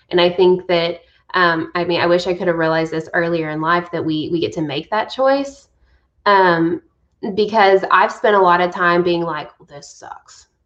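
This woman has a normal speaking voice, fairly low in pitch with ordinary variation, at a moderate pace. Her loudness swings widely. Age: 30s. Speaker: college success coach. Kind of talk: interview.

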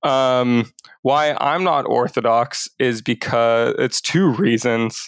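A man's medium-pitched voice with a Canadian accent, very slow pace, ordinary pitch variation, very even loudness and a quiet background. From western Canada. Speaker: pastor. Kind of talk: casual interview conversation. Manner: halting, many fillers.

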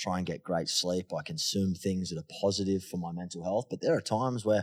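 Recorded very cleanly against a silent background, a man with an Australian accent speaks at a fairly quick pace and a fairly low pitch. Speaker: mental health advocate and podcaster. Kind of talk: interview conversation. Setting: studio. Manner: energetic.

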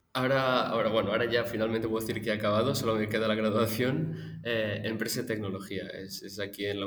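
Over noticeable background noise, a man with a fairly low voice speaks very fast with fairly even intonation and hardly any pauses. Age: 20s. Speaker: recent graduate. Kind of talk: interview.

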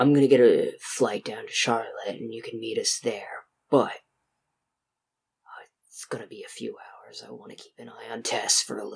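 Here a man puts on a character voice at a moderate pace, with long, frequent pauses. His loudness swings widely. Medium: actual play.

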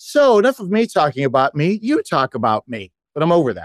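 A man with a normal speaking voice talks at a fairly quick pace with lively intonation. The sound is dry and close with no echo, over a quiet background. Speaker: magician and podcast guest. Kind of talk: casual chat. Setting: video call.

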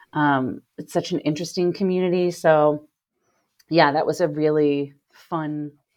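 A woman's very deep, low voice with an American accent, fairly even intonation and a fairly slow pace over a quiet background. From US Midwest, Cincinnati, Ohio. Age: 30s. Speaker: recovering alcoholic, theater performer and writer. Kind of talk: interview, personal testimony.

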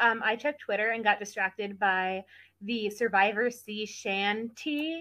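A woman's bright, sharp voice, fairly high in pitch, with an American accent, ordinary pitch variation and a fairly slow pace, on a very clean recording with a silent background. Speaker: podcast guest. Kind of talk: casual chat.

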